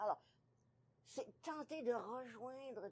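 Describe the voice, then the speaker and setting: Speaking very slowly, a woman keeps ordinary pitch variation. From Ontario, Canada. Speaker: author and retired teacher. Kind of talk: interview.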